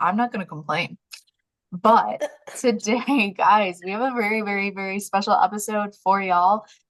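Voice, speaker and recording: Medium pitch and a moderate pace from a woman, an ordinary speaking voice with fairly even intonation. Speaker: podcast host. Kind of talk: casual podcast conversation.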